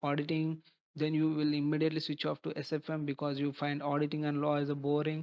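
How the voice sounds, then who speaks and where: A man with an Indian accent at a fairly high pitch, talking at a fairly quick pace with monotone, flat intonation. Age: 20s. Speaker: chartered accountant. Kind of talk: advice talk to camera. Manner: halting.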